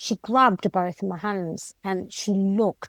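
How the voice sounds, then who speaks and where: A woman's medium-pitched voice with a British accent, fairly even intonation, and a dry, close sound with no echo. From Britain. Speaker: Kundalini Shakti activation facilitator. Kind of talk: interview answer.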